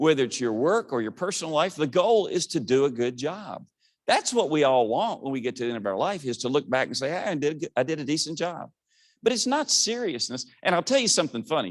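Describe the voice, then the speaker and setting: A man at a very fast pace, animated in tone, with very wide pitch swings. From Southwest Virginia. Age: 60s. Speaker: motivational speaker. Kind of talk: keynote speech. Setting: stage with audience.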